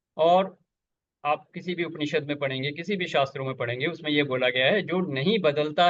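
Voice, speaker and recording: A man's voice with ordinary pitch variation. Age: 60s. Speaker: spiritual teacher. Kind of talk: spiritual satsang discussion. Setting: video call.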